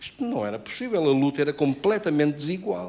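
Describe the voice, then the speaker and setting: A man is speaking. His pace is moderate. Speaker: pastor. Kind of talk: sermon.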